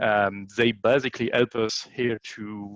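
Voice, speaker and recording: With a French accent, a man speaks at a medium pitch against a quiet background, the sound dry and close with no echo. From France. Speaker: event emcee. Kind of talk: conference introduction. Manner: halting with many fillers.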